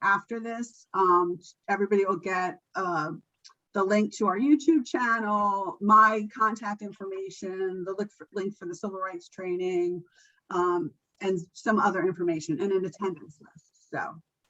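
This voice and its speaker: A woman's bright, sharp tone at a moderate pace, with big swings in loudness and ordinary pitch variation. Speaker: nutrition educator. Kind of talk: training presentation.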